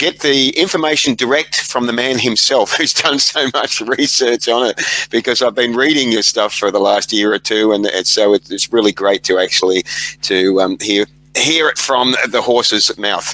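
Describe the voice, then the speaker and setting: Speaking at a moderate pace and medium pitch, a man with an Australian accent keeps his loudness very even in a dry, close sound with no echo, despite noticeable background noise. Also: ordinary pitch variation. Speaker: podcast host. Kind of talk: interview. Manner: halting.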